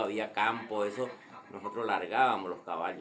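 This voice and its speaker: A man talks with ordinary pitch variation, and audible room echo hangs around his words. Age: 60s. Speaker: grandfather telling a local legend. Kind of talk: personal storytelling. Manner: halting.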